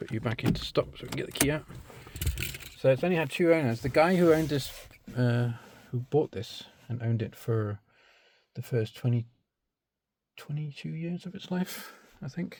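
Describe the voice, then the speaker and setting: A man with a medium-pitched, somewhat breathy voice speaks with big swings in loudness and long, frequent pauses. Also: moderate pace. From Britain. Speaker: car enthusiast video maker. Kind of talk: casual walkthrough tutorial. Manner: halting, many fillers.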